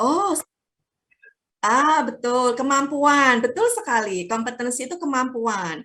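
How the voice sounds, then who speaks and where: In a raised, projected voice with a Javanese accent, a woman speaks very slowly, her high, bright, sharp tone carrying lively intonation. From Java, Indonesia. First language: Javanese (speaking Indonesian). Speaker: guest lecturer. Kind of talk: lecture. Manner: mixes English and Indonesian.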